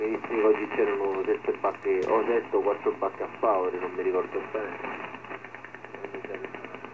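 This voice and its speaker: A man at a fairly quick pace with long, frequent pauses, over noticeable background noise. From Sicily. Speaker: fisherman. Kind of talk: casual radio chat. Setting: marine radio. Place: boat. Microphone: two way radio.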